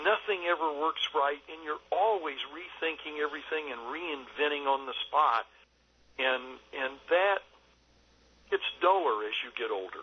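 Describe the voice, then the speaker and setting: Fairly slow and fairly high-pitched, a man speaks with ordinary pitch variation. His loudness swings widely. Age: 60s. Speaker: film director. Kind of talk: interview. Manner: halting, many fillers.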